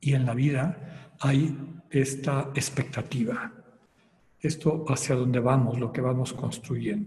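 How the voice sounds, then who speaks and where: A man speaks very slowly with a medium pitch and a somewhat breathy voice. Audible room echo is present. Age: 60s. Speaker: spiritual retreat leader. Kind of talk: lecture.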